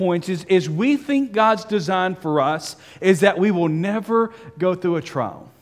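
With ordinary pitch variation, the speaker uses a natural reading voice.

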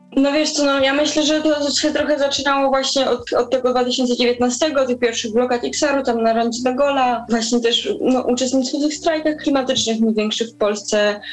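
A woman speaks with a high pitch, ordinary pitch variation and hardly any pauses at a moderate pace. Noticeable background noise sits behind her voice. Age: 20s. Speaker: climate activist. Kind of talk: interview.

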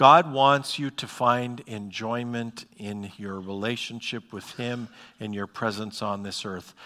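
Speaking fairly slowly with an Upper Midwest accent, a man with a medium-pitched, bright, sharp voice shows ordinary pitch variation and big swings in loudness on a very clean recording with a silent background. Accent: Upper Midwest American. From North Dakota, Bismarck. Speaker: pastor. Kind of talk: sermon. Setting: church. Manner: halting, many fillers.

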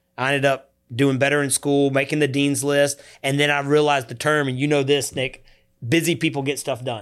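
Energetic in tone, a man speaks fairly quickly with a Southern US accent. His pitch is fairly high. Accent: Southern US (Georgia). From US South, Georgia (Coweta County). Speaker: youth nonprofit founder. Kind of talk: interview.

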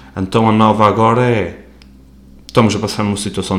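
At a moderate pace, a man talks in a medium pitch with audible room echo. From Azores, Terceira island. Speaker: podcast host. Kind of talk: casual solo monologue. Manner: casual, slightly halting.

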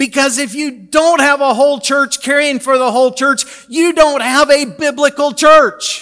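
A man speaks in a raised, projected voice at an extremely high pitch, with a bright, sharp tone. His intonation is fairly even, at a moderate pace with hardly any pauses. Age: 60s. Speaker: pastor. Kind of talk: sermon.

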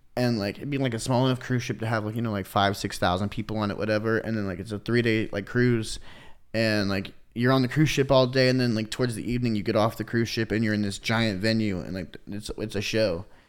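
A man with a Midwestern American accent speaks at a very fast pace, his medium pitch held in fairly even intonation. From US Midwest, Kansas City. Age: 20s. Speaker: electronic music DJ and producer. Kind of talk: casual chat.

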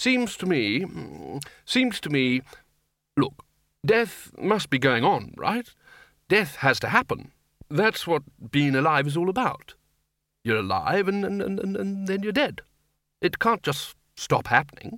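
This man puts on a character voice, fairly high-pitched with a fairly bright tone and big pitch swings. He speaks at a fairly slow pace in a very clean recording with a silent background.

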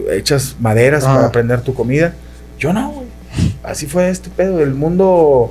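A man speaks fairly slowly against noticeable background noise. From Monterrey, Mexico. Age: 40s. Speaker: radio sports commentator. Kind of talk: casual chat.

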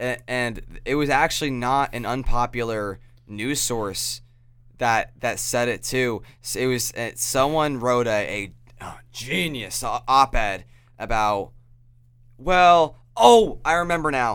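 A man's medium-pitched, plain, everyday voice, fairly slow, with ordinary pitch variation, on a very clean recording with a silent background. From New York (upstate). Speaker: podcast host. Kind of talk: casual chat.

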